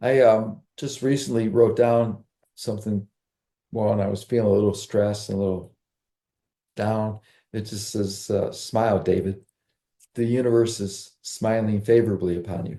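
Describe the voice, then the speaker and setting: A man speaks in a fairly low voice with a dark, mellow tone. His delivery has long, frequent pauses. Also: fairly even intonation, moderate pace. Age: 70s. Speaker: summit host. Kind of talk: interview.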